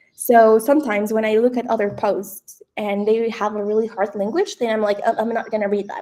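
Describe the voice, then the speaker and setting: Speaking at a fairly quick pace, a woman with a non-native accent has a fairly high pitch. Her tone is dark and mellow, and her intonation fairly even. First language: not English. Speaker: founder, AI content expert. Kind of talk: webinar presentation.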